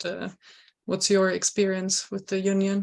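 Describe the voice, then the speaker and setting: A woman with a German accent talks at a moderate pace and a medium pitch. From Germany. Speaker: programme coordinator moderating a webinar. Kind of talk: webinar moderation.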